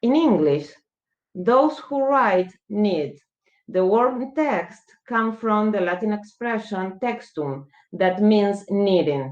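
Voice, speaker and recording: A woman speaks very slowly in a Spanish accent. Her medium-pitched voice moves in very wide pitch swings. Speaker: law professor. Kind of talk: conference talk.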